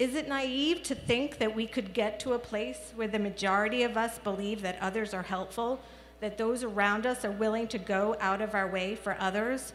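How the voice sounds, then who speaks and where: With an American accent, a woman speaks in an ordinary speaking voice at a moderate pace, with a medium pitch and ordinary pitch variation. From New York City (the Bronx). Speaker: children's media researcher. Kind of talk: commencement speech.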